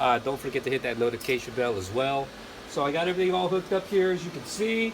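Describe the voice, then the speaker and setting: Noticeable background noise sits under the speech. The pace is very fast. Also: man. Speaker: car builder YouTuber. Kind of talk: workshop vlog. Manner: casual, filler-heavy.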